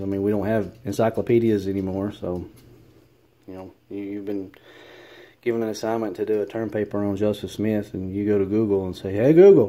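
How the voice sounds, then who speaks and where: A man with a Southern accent has a fairly low pitch and a dark, mellow tone. His intonation stays fairly even. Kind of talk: casual commentary. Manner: hesitant, many fillers.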